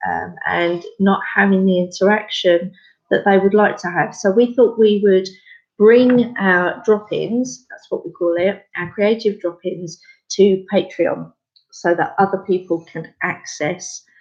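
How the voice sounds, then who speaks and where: In an English accent, a woman with a medium-pitched voice talks fairly slowly, her intonation fairly even but her volume rising and falling sharply. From England. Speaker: craft space founder. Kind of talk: casual chat. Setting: live video stream. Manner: hesitant, many fillers.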